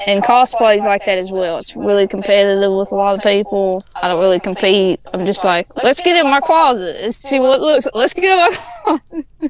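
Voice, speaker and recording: A woman speaks at a medium pitch with an American accent, her intonation lively and her pace fairly quick. Noticeable background noise runs behind her. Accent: Appalachian accent, still comes out. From Appalachia, US. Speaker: podcast guest, artist and cosplayer. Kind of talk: casual chat.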